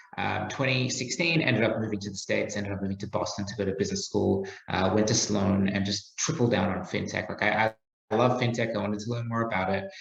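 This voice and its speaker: A man talks at a very fast pace in an Australian accent. His pitch is fairly low, with ordinary pitch variation. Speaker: startup founder. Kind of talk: podcast interview.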